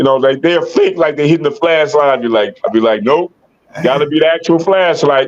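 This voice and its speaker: A man with a fairly high pitch and an American accent, a fairly quick pace, and an ordinary speaking voice. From US, Detroit Michigan. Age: 60s. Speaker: podcast host, locking dancer. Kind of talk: casual chat.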